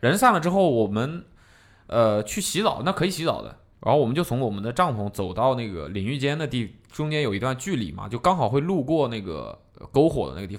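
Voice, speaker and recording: The loudness swings widely and the pitch swings very widely. Vocal fry can be heard. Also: man, medium pitch for a man. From southern China. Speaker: podcast host. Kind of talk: casual chat.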